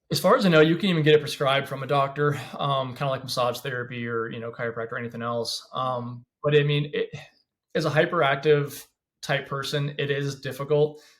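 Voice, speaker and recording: A man with an American accent speaks at a fairly high pitch, his voice somewhat breathy. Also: fairly quick pace. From Washington State, US. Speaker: former police officer. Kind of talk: podcast interview. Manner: fast; animated.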